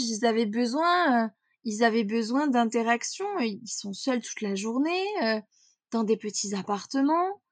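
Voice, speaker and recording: This woman has a high pitch and lively intonation. She speaks at a fairly slow pace. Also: dry, close sound with no echo. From central France (Corrèze). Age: 20s. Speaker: mental performance coach. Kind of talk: interview conversation.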